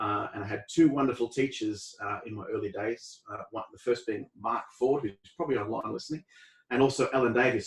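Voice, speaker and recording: A man with an Australian accent talks at a fairly quick pace. His voice is somewhat breathy, with ordinary pitch variation. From Australia, Bendigo, Victoria. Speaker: euphonium player. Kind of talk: casual chat.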